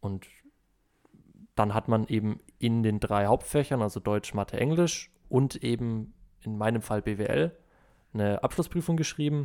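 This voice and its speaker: A man's medium-pitched voice with a dark, mellow tone, lively intonation and long, frequent pauses. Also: fairly slow pace. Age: 20s. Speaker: business informatics student. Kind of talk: casual chat.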